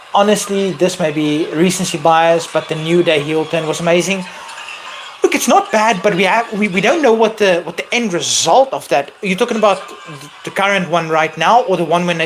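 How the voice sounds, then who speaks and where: A man with a high-pitched voice talks at a fairly quick pace over noticeable background noise. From South Africa. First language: not English. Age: 30s. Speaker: wrestling streamer. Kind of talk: live stream Q&A chat. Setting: live stream. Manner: animated.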